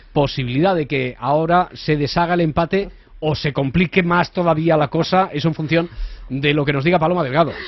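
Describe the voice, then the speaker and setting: A man with a normal speaking voice, fairly high pitch, fairly even intonation and a fairly quick pace. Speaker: radio host. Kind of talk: radio magazine show.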